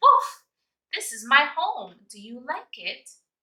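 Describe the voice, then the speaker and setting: A woman in a put-on character voice speaks fairly slowly at an extremely high pitch, with very wide pitch swings. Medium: read story. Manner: gentle, friendly.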